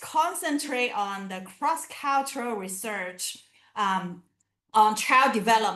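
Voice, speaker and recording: With a non-native accent, a woman speaks at a fairly slow pace in a bright, sharp tone with very wide pitch swings. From southern China (Canton). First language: Chinese. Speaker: academic researcher. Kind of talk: lecture. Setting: video call. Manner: halting.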